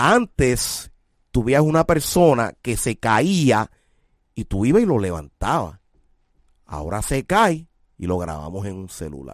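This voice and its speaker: Very slowly, with long, frequent pauses, a man speaks in very wide pitch swings. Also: medium pitch for a man, big swings in loudness, very clean recording, silent background. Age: 40s. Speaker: music show host and artist mentor. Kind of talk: casual chat.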